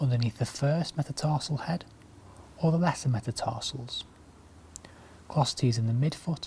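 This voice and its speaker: Soft-spoken and somewhat breathy, a man with a fairly high pitch talks at a moderate pace in a dark, mellow tone with ordinary pitch variation. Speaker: orthopaedic clinical lecturer. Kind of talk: medical teaching demonstration.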